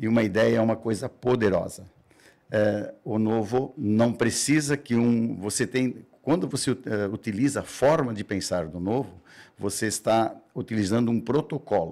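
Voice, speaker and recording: A man's dark, mellow voice at a medium pitch moves at a fairly slow pace. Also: ordinary pitch variation. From southern Brazil, Santa Catarina. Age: 70s. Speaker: mayoral candidate. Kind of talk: radio interview. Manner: halting, with self-corrections.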